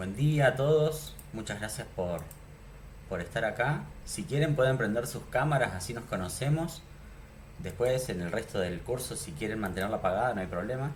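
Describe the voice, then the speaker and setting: A man speaks at a medium pitch with lively intonation and a somewhat breathy quality. Audible room echo surrounds his voice. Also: moderate pace. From Argentina, Neuquén. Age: 30s. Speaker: programming teacher. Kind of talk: online class. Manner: casual, with filler words.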